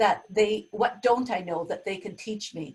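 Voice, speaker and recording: Here a woman with an ordinary speaking voice talks at a moderate pace and medium pitch. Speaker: webinar facilitator and business leader. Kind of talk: webinar presentation. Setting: video call.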